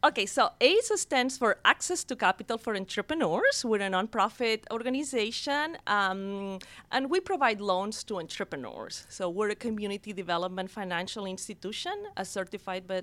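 A woman with a Catalan accent talks at a fairly quick pace and medium pitch. The sound is dry and close, with no echo. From Barcelona, Spain. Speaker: women's business center director. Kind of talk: radio interview. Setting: studio.

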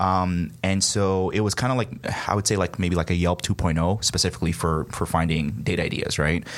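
At a moderate pace, a man speaks with a very deep, low pitch and ordinary variation in it. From Nigeria. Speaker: startup founder. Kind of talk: radio interview. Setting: conference room studio.

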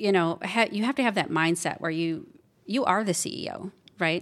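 A woman with a Midwestern US accent at a fairly low pitch, ordinary pitch variation and a moderate pace, on a very clean recording with a silent background. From Wisconsin, US Midwest. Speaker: business owner. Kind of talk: interview, casual chat. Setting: studio.

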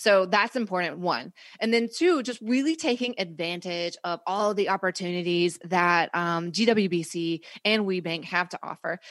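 Here is a woman with an ordinary speaking voice and a medium pitch. She keeps a moderate pace and ordinary pitch variation over a quiet background. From US South, North Carolina. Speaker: marketing consultant, business owner. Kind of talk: interview. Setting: radio studio.

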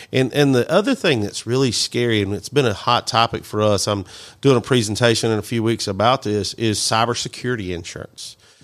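A man's medium-pitched voice with a Mississippi accent, fairly quick and with hardly any pauses, ordinary pitch variation, in a very clean recording with a silent background. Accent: Southern US (Mississippi). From US South. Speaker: IT company CEO. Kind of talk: radio interview. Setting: studio.

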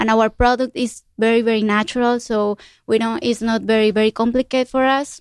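In a very clean recording with a silent background, a woman with a Spanish accent speaks at a fairly high pitch with fairly even intonation. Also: dry, close sound with no echo. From Colombia. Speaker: entrepreneur. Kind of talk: interview. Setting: radio studio. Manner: halting.

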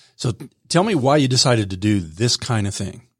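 A man with a somewhat breathy voice is heard on a very clean recording with a silent background. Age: 30s. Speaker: radio show host. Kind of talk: radio interview. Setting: studio.

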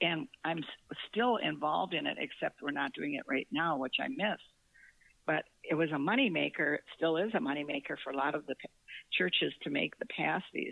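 Here a woman speaks with an American accent in a very deep, low voice. Her pace is moderate and her intonation lively. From northern Minnesota. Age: 80s. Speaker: author and retired corporate employee. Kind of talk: casual interview chat.

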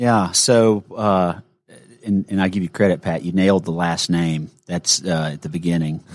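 In a Southern US accent, a man with a very deep, low voice talks at a moderate pace with fairly even intonation. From Gainesville, Georgia. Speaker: financial advisor. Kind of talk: casual chat. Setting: studio.

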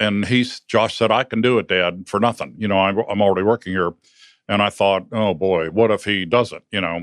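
An unremarkable speaking voice with an American accent moves at a fairly quick pace. The intonation stays fairly even. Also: man, fairly low pitch for a man. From northern Ohio, US. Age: 60s. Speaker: business owner, lawn care company founder. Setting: radio studio.

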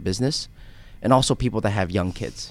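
The recording is very clean, with a silent background. A man with an American accent talks at a fairly quick pace. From US (raised partly in Korea). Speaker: financial advisor. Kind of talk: radio interview. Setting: studio.

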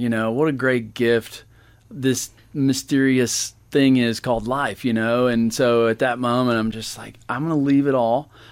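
This man talks at a moderate pace and medium pitch with fairly even intonation. He has a normal speaking voice. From Georgia (US). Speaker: winery owner. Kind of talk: interview.

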